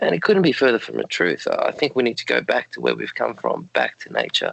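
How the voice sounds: A croaky man at medium pitch talks at a fairly quick pace, his fairly bright tone carrying vocal fry and very wide pitch swings.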